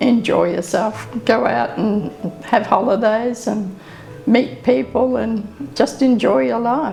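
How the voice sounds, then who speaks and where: Someone with an Australian accent speaks very slowly with lively intonation. Music plays in the background, and room echo is audible. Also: woman, fairly high pitch for a woman. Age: 80s+. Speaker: elderly interviewee. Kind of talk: interview.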